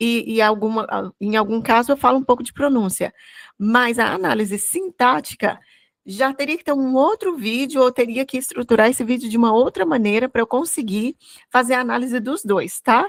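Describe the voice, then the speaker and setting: Speaking with a Goiás accent, a woman has a high pitch and ordinary pitch variation. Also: moderate pace, dry, close sound with no echo, very clean recording, silent background. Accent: Goiás Brazilian Portuguese (caipira r). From Brazil, Goiás. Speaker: English teacher. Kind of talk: bilingual Bible study lesson. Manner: conversational, with frequent fillers and repetitions.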